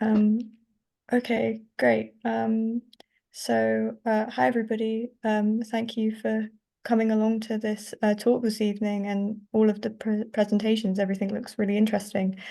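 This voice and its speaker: A woman with an English accent, fairly high in pitch, dark and mellow in tone, monotone and flat in intonation, at a moderate pace over a quiet background. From southern England (Reading). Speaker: climate scientist. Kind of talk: academic presentation.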